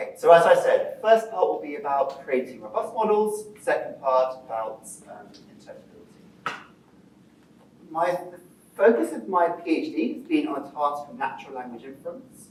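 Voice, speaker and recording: Loudness swings widely as a man speaks over noticeable background noise in a room with audible echo. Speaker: PhD student presenting research. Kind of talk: lecture. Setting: presentation to a live audience. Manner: fast when enthusiastic; hesitant, many fillers.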